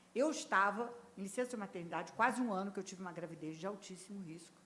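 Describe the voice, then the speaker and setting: Intonation is lively, with a Rio de Janeiro accent. The pace is very fast. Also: woman. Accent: carioca. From Rio de Janeiro, Brazil. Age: 70s. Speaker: HR executive. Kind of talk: podcast interview.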